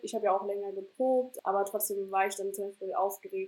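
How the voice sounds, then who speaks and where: Delivered at a fairly quick clip, this voice carries a dark, mellow tone. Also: woman. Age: 20s. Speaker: startup founder and student. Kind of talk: casual interview. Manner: hesitant, many fillers.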